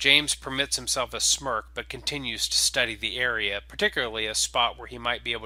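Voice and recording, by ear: In a natural voice, the text is read aloud with ordinary pitch variation.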